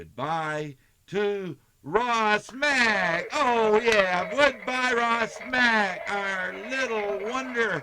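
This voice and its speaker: A man's raised, projected voice with an American accent, high-pitched, very slow, with lively intonation, big swings in loudness and noticeable background noise. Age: 70s. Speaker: storyteller grandfather, retired teacher. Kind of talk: reading aloud to children. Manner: warm, affectionate.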